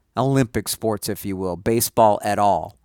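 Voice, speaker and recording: An ordinary speaking voice at a moderate pace, with ordinary pitch variation. The sound is dry and close, with no echo. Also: man. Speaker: sports radio host. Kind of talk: sports talk radio monologue, with breaks and callers. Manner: fluent, upbeat radio patter.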